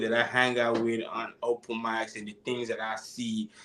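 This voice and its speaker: This speaker talks at a moderate pace with a Nigerian accent. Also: man. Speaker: musician. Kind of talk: interview. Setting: live stream. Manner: halting.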